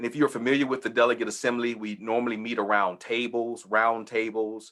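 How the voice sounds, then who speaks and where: With a Texas accent, a man talks at a medium pitch using fairly even intonation. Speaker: church leader hosting webinar. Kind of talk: informational webinar presentation. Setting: video webinar.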